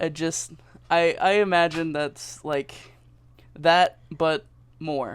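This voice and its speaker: A high-pitched man at a very slow pace, long, frequent pauses and fairly even intonation. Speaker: interviewee. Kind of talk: casual interview. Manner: halting, with fillers.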